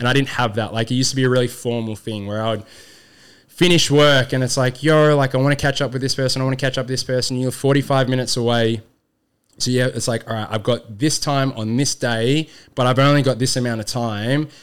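Speaking at a very fast pace, a man with an Australian accent uses a medium pitch. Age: 30s. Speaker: youth program founder. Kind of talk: casual chat. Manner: animated.

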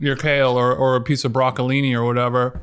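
Over a very clean recording with a silent background, a man with a Southern Californian accent speaks at a fairly quick pace. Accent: Southern California American. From Orange County, California. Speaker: podcaster. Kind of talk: casual chat.

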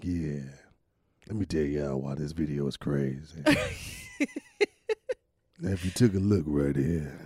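A man uses a put-on character voice that is very deep, low and raspy. He keeps a moderate pace with long, frequent pauses. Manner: groggy, lazy.

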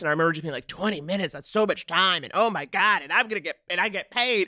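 At a very fast pace, a woman speaks in a bright, sharp tone, the sound dry and close with no echo. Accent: American. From New York City (Harlem). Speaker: comedian and TV writer. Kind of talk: casual chat.

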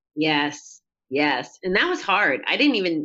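A fairly low-pitched woman's voice with an American accent. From upstate New York. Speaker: person in recovery from alcohol. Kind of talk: interview.

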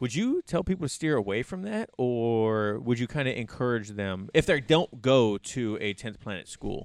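An unremarkable speaking voice from a man, medium-pitched with lively intonation, at a moderate pace with hardly any pauses, against a quiet background, dry and close with no echo. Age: 30s. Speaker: podcast host. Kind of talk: casual chat.

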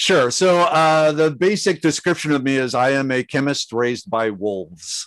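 Against a quiet background, an ordinary speaking voice with an American accent moves at a moderate pace with lively intonation. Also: man, fairly high pitch for a man, hardly any pauses. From Minnesota, US Midwest. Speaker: chemist and plant expert. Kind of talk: casual interview.

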